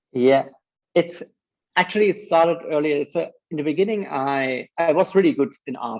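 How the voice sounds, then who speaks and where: With a German accent, a man talks at a moderate pace with ordinary pitch variation. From Germany. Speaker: advertising creative director. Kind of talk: interview. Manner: halting.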